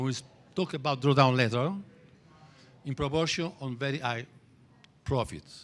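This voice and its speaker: Speaking with an Italian accent, a man has a fairly high pitch and ordinary pitch variation. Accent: Italian accent, noticeable. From Italy. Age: 60s. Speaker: trading teacher. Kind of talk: lecture. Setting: stage with audience. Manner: halting.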